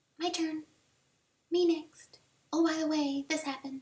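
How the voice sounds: A woman puts on a squeaky character voice at an extremely high pitch. She keeps a moderate pace with monotone, flat intonation.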